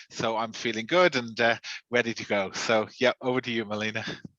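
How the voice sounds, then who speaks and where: With an Irish accent, a man speaks at a moderate pace in a bright, sharp tone with fairly even intonation, the sound dry and close with no echo. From Ireland. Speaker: regional sales manager. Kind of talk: webinar discussion.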